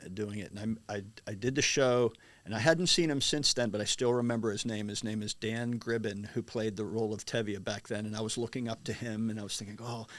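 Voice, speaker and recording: An unremarkable speaking voice, this man's is medium in pitch, with an American accent and fairly even intonation. He speaks fairly quickly on a very clean recording with a silent background. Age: 60s. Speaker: stage actor and singer. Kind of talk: interview. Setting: studio.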